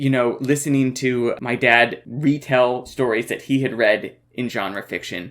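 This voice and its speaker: A normal speaking voice at a fairly slow pace with fairly even intonation. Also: man, medium pitch for a man. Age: 30s. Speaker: podcast co-host. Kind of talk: casual chat.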